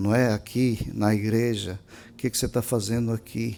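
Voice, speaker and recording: Over a very clean recording with a silent background, a man with a Minas Gerais accent talks at a moderate pace, his dark, mellow tone set at a medium pitch with fairly even intonation. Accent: Brazilian Portuguese, mineiro. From Brazil, Minas Gerais. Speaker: pastor. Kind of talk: sermon. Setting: church. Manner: emphatic.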